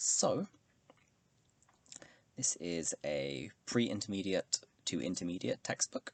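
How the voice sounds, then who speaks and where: A soft-spoken man with a British accent talks at a very slow pace. His very deep, low pitch carries vocal fry. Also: dry, close sound with no echo. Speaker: Japanese language learner. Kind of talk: ASMR study session talk to camera. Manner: soft-spoken, quiet.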